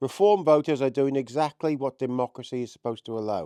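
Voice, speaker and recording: Speaking at a fairly quick pace, a man uses a fairly high pitch with a dark, mellow tone and ordinary pitch variation. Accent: Welsh. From Wales. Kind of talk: political commentary to camera. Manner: impassioned.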